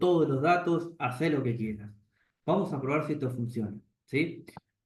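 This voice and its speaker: A man with a somewhat breathy voice and ordinary pitch variation talks in a space with audible room echo. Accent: Rioplatense. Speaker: programming teacher. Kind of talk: lecture.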